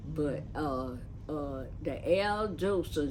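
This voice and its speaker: There is audible room echo as a woman with a dark, mellow tone and vocal fry talks at a very slow pace with lively intonation. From Lakeland, Florida. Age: 80s+. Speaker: church elder. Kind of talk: oral history interview. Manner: halting.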